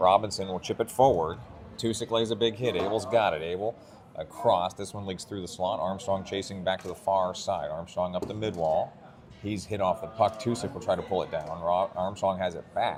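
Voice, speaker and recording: Against noticeable background noise, a man speaks with a fairly low pitch and fairly even intonation at a fairly quick pace. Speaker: youth hockey play-by-play broadcaster. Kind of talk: live commentary. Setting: arena mezzanine behind glass, among spectators. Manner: quiet, subdued volume; fast.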